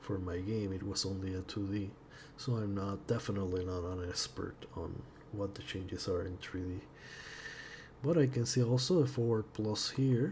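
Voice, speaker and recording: A man's fairly low, somewhat breathy voice in a non-native accent, at a moderate pace, with audible room echo. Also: ordinary pitch variation. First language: not English. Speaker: indie game developer. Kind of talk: tutorial-style software exploration. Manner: halting, with frequent repetitions.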